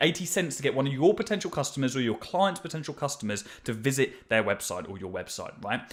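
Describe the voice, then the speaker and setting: An energetic man with a British accent speaks at a fairly quick pace with hardly any pauses, a fairly high pitch, very wide pitch swings and big swings in loudness. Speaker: marketing agency owner teaching ads. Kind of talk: tutorial. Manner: fast.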